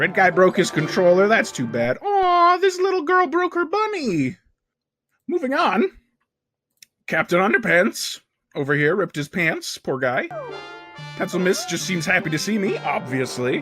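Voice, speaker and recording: A cartoonish character voice at a middle pitch, with long, frequent pauses. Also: moderate pace. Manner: rambling, chatty, self-important.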